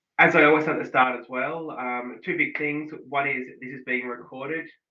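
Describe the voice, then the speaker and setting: With an Australian accent, a man is speaking. His intonation stays fairly even. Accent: broad thick Australian. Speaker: digital analytics consultant. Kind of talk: online workshop presentation.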